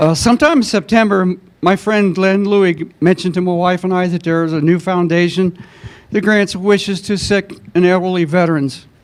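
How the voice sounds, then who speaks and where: A man's high-pitched voice with an American accent and fairly even intonation. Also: moderate pace. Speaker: army veteran. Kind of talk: testimony.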